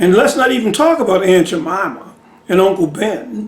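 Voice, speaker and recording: Noticeable noise sits in the background. The speech carries an American accent. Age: 60s. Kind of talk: casual monologue answering a viewer question. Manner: conversational, many fillers.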